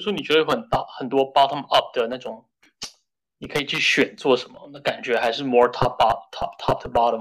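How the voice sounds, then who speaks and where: A man's speech comes fairly fast, getting much louder and softer by turns. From Shenzhen, China, then New York from age 13. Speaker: software engineer. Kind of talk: casual chat. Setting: office meeting room.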